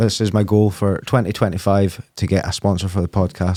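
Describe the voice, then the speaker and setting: A man's fairly low, dark, mellow voice with a Scottish accent, at a moderate pace, in a very clean recording with a silent background. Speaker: podcast host. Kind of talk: casual podcast interview. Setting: studio.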